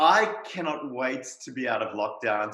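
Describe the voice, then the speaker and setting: There is noticeable background noise behind a man talking at a medium pitch. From South Africa. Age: 40s. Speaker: naturopath and hypnotherapist. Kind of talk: casual interview. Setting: video call.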